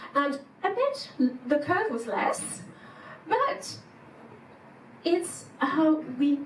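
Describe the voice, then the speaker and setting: Here a woman talks with a French accent. Her intonation is lively. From France. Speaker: psychologist and executive coach. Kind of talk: conference keynote talk. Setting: stage with audience.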